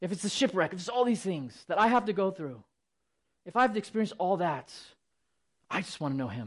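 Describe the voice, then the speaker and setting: Speaking at a very fast pace with an animated tone, the voice breaks into long, frequent pauses over a quiet background. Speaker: Bible teacher. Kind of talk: sermon. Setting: church. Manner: fast talker.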